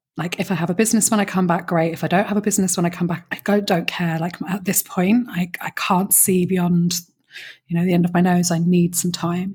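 A woman with a British accent speaks at a fairly quick pace, her fairly low voice somewhat breathy and her intonation flat and monotone. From Britain. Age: 40s. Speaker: business coach. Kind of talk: interview.

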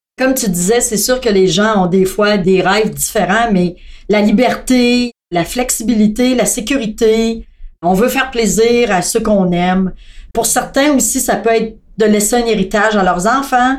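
A woman speaks fairly slowly with a fairly high pitch and ordinary pitch variation. Her loudness is very even, and it's a normal speaking voice. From Quebec, Thetford Mines. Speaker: customer service staff. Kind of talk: casual chat.

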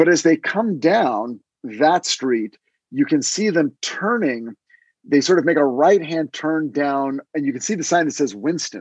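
In a quiet background, a man with an unremarkable speaking voice talks at a fairly slow pace with lively intonation, the sound dry and close with no echo. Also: fairly high pitch for a man. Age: 50s. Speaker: screenwriter and podcast co-host. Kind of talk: casual chat.

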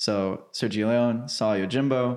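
A man speaks against a quiet background. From Arkansas (Cabot). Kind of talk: casual interview chat.

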